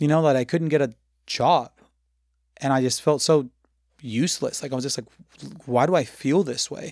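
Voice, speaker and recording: A man with a Spanish accent talks at a moderate pace with long, frequent pauses, in a very clean recording over a silent background. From Mexico, Tabasco. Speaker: restaurant owner. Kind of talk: casual interview chat.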